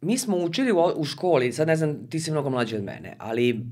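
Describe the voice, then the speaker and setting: In a very deep, low voice, a woman talks at a very fast pace with very wide pitch swings against a quiet background. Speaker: podcast guest, communication trainer. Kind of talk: interview answer. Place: studio. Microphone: studio mic.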